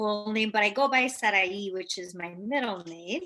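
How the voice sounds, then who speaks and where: Speaking in a Spanish accent, a woman uses a fairly high, bright, sharp voice with ordinary pitch variation at a moderate pace. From Hempstead, New York. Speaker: teacher. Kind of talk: panel discussion.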